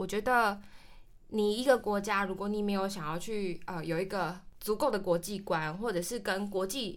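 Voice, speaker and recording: In an unremarkable speaking voice, a woman talks at a moderate pace and medium pitch on a very clean recording with a silent background. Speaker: traveler, cram school teacher. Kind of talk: interview chat.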